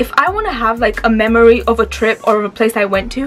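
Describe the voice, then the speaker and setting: Over noticeable background noise, a woman speaks in an animated tone at a fairly high pitch with ordinary pitch variation. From Romania, moved to UK at four, lived in several countries. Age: 20s. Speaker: YouTuber. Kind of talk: casual vlog monologue. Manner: chatty, animated.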